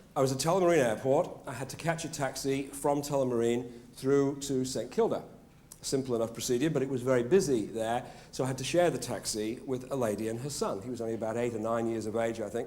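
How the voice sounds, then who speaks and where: A man's medium-pitched voice in a British accent, very fast, with ordinary pitch variation and audible room echo. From Britain. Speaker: motivational speaker. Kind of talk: after-dinner speech. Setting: stage with audience. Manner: animated.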